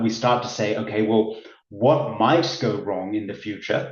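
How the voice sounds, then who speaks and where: At a moderate pace and medium pitch, a man talks in a somewhat breathy voice with a slight Australian accent. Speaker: business consultant. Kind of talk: webinar presentation. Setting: online webinar.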